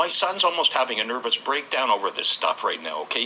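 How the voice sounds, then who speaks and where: A man talks fairly quickly as noticeable background noise runs behind him. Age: 60s. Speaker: fire-displaced tenant. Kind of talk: press conference testimony. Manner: emotional, halting.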